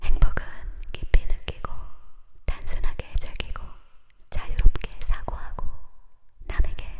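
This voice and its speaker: With noticeable background noise around it, a whisper unfolds at a fairly slow pace. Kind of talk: ASMR whispered quote reading for sleep. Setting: studio close-mic, binaural ear-to-ear. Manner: whispered, soft, close-mic.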